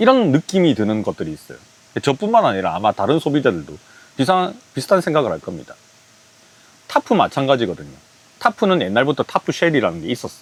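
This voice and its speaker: A man's fairly high voice at a very fast pace, with very wide pitch swings and long, frequent pauses, in a dry, close sound with no echo over noticeable background noise. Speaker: camping gear reviewer. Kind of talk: product review.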